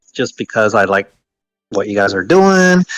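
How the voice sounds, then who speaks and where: A man with an American accent in a plain, everyday voice, fairly quick in pace, ordinary in pitch variation, with a dry, close sound and no echo. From United States. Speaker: online game alliance leader. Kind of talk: casual interview chat.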